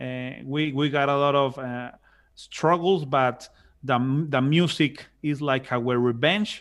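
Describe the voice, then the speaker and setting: Very slowly and with fairly even intonation, a man with a Spanish accent speaks at a fairly high pitch. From Mexico, Monterrey. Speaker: musician and civil engineer. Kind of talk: casual interview. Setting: video call. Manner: halting, many repetitions; loud and chatty.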